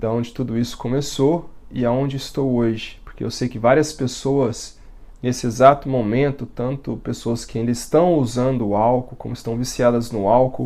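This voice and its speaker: This man has a dark, mellow tone and fairly even intonation. He speaks at a moderate pace. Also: medium pitch for a man. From Brazil, Minas Gerais interior. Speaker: former Jehovah's Witness sharing his story. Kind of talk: testimony. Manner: halting, pauses as words get tangled.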